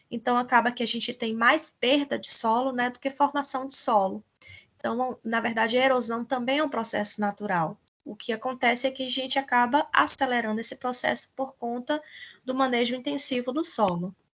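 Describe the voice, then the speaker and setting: A woman with a Brazilian accent, high-pitched, with ordinary pitch variation and a moderate pace, against a quiet background. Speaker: teacher. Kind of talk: lecture.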